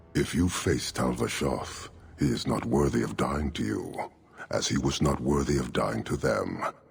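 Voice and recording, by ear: In a put-on character voice with vocal fry, a man talks extremely low and fairly slowly. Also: ordinary pitch variation.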